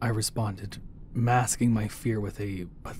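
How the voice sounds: Intonation is fairly even in this natural reading voice.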